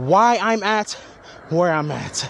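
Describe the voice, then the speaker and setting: A man speaks with a high pitch and ordinary pitch variation. His tone is animated. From Haitian family, South Florida. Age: 30s. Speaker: vlogger. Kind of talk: casual vlog monologue.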